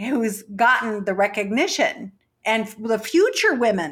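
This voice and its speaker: Fairly high in pitch, a woman talks at a fairly slow pace with lively intonation. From Mexican-American background. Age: 60s. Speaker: poker organizer and player. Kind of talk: interview. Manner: halting.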